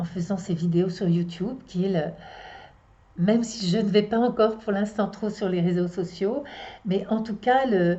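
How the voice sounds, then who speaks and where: At a medium pitch, a woman speaks with ordinary pitch variation. Her pace is fairly slow, with long, frequent pauses. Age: 60s. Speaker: astrologer and psychotherapist. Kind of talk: casual monologue to viewers. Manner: halting, many hesitations.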